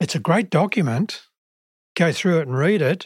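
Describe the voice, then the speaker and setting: A man talks at a moderate pace, his pitch fairly high and his intonation lively, with some vocal fry. The sound is dry and close, with no echo. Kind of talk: podcast interview.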